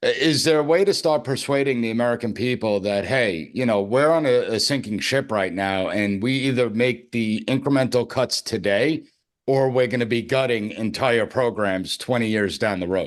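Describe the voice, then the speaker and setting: Hardly any pauses break up a normal speaking voice at a moderate pace, with ordinary pitch variation. The background is quiet. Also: man, medium pitch for a man. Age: younger than 62. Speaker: podcast host and professor. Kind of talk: interview podcast.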